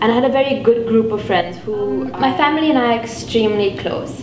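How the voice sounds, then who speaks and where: Fairly quick, lively speech from a woman with a fairly high pitch, plus audible room echo and noticeable background noise. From India, Mumbai. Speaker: international student. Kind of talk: interview testimony.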